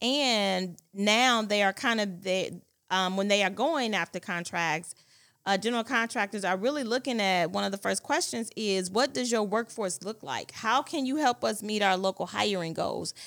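An ordinary speaking voice from a woman, medium-pitched with lively intonation, comes at a moderate pace on a very clean recording with a silent background. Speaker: podcast host. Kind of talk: moderated panel discussion.

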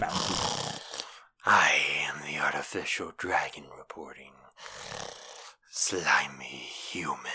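This put-on character voice has a menacing tone, a very slow pace and long, frequent pauses. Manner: menacing, slimy, contemptuous.

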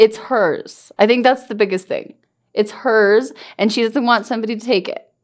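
Her tone animated, a woman speaks at a moderate pace with a fairly high pitch. Her loudness swings widely. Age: 30s. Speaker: podcast co-host, parent. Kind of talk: casual chat. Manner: animated, laughing often.

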